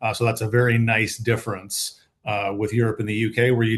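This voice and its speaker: A man with an American accent talks at a fairly quick pace, his medium-pitched voice somewhat breathy. His intonation stays fairly even over a quiet background. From United States. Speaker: patent attorney. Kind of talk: panel webinar. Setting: online webinar.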